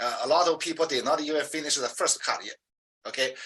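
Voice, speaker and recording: A man speaks with a strong Chinese accent. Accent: heavy Chinese. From China. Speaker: professor. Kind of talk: interview. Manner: halting, with many fillers.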